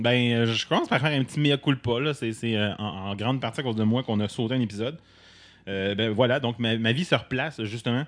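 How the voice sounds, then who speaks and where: In an ordinary speaking voice, a man speaks at a fairly quick pace and medium pitch, with ordinary pitch variation. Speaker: podcast co-host. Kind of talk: casual chat. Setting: studio.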